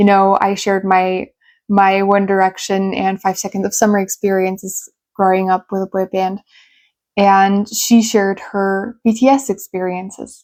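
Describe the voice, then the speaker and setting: The voice carries a German accent and a monotone, flat intonation. The recording is very clean and dry, close with no echo, and the background is silent. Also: woman, medium pitch for a woman, moderate pace. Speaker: YouTuber and English tutor. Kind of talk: personal storytelling vlog. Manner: casual with fillers.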